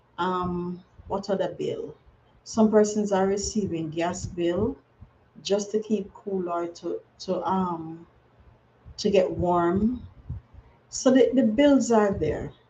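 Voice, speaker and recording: At a very slow pace with long, frequent pauses, a woman speaks at medium pitch with ordinary pitch variation. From Jamaica. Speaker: conservation livestreamer. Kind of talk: live stream talk. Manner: halting, repeats words.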